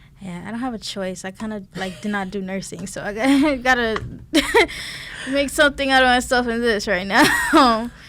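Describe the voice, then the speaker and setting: Amid noticeable background noise, a woman with a fairly high pitch speaks with ordinary pitch variation and big swings in loudness. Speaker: radio personality and music journalist. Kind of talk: casual interview chat. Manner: stutters when trying to slow down.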